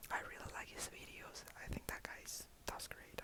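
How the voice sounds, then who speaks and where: A man whispers over noticeable background noise. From Colombia. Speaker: ASMR content creator. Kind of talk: ASMR talk to camera. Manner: friendly, chatty.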